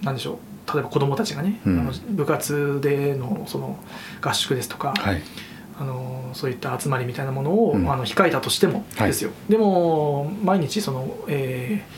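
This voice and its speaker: A man speaks at a moderate pace and a fairly high pitch, his pitch swinging very widely. Audible room echo and noticeable background noise fill the recording. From Fukushima, Koriyama. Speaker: event organizer and shop owner. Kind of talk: casual interview.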